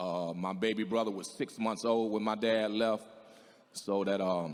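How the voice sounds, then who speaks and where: There is audible room echo as a man speaks with a fairly low pitch and fairly even intonation. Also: fairly slow pace. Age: 60s. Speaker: singer in recovery. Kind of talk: testimony. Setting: stage with audience. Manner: halting.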